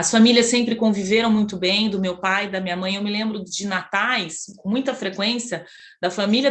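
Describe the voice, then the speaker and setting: At a moderate pace, a woman talks with a fairly high pitch. Her intonation is fairly even. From Brazil, Campinas (São Paulo state). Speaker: psychologist, Jungian analyst. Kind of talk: interview, personal life story. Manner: hesitant, many fillers.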